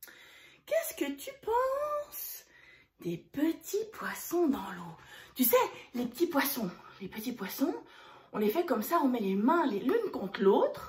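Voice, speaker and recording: A woman talks at a very slow pace, with long, frequent pauses. Her pitch swings very widely and her loudness varies greatly. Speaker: parent-child gym teacher. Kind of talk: instruction with nursery rhymes. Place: home room. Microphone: camera far.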